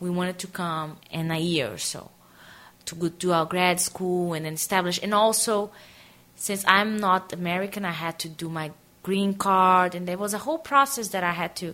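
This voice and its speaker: In a Portuguese accent, a woman talks at medium pitch and a moderate pace. Her tone is bright and sharp, with ordinary pitch variation. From Brazil, Aracaju (northeast). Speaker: interviewee, NGO worker. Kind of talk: biographical interview. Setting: radio interview.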